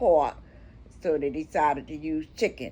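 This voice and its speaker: Vocal fry runs through a woman's fairly slow speech. Her intonation is lively. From Miami, of Bahamian descent. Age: 80s+. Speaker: historian. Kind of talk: interview answer.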